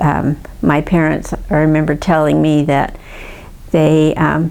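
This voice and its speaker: Over noticeable background noise, a woman with an American accent and a very deep, low pitch speaks at a very slow pace. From US West, Santa Monica, California. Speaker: family history narrator. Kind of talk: oral history recollection. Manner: halting, many fillers.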